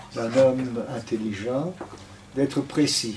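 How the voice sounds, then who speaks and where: There is noticeable background noise. Over it, a man speaks at a medium pitch. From Belgium (Antwerp), later Israel. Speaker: retired diplomat and guest speaker. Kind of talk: lecture testimony. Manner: halting, searching for words.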